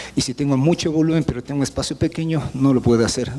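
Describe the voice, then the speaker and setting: With noticeable background noise behind him, a man speaks with fairly even intonation. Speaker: university professor and remediation expert. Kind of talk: technical seminar lecture. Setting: seminar presentation with audience. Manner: fast.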